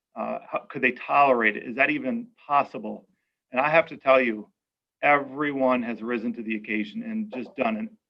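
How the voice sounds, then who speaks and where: A plain, everyday voice carries this speech. It moves at a moderate pace with ordinary pitch variation. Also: man. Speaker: school superintendent. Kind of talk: public information forum presentation. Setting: video call.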